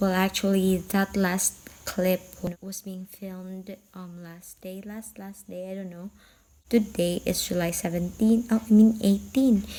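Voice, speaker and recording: Quiet and somewhat breathy, a woman with a Visayan Filipino accent speaks at a fairly slow pace in a medium pitch, her dark, mellow tone kept to a monotone, flat intonation despite big swings in loudness. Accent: Filipino (Cebuano) English. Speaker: vlogger and seamstress. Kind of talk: casual vlog. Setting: at home at night. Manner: quiet, lowered voice.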